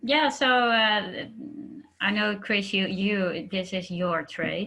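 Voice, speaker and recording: The tone is bright and sharp, the pace very slow, and the pitch moves in an ordinary way. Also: woman, medium pitch for a woman. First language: not English. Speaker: business trainer. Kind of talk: casual chat. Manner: halting.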